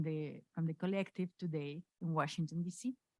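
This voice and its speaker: A woman with a Spanish accent at a moderate pace, in a dry, close sound with no echo. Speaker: human rights lawyer, NGO director. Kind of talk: acceptance speech read aloud. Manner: halting.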